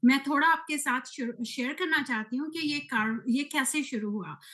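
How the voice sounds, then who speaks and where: The voice has a bright, sharp tone. Its pitch varies in an ordinary way. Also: woman. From UK, of Punjabi Indian family. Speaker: team leader of network marketing community. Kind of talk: presentation to online community. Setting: video call. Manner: hesitant, many fillers.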